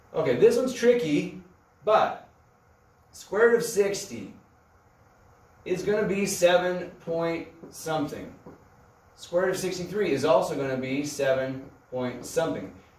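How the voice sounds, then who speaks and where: Lively intonation at a fairly slow pace, with long, frequent pauses and audible room echo. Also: man, high pitch for a man. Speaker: math teacher. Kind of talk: recorded math lesson. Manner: slow and rambling; casual, thinking aloud.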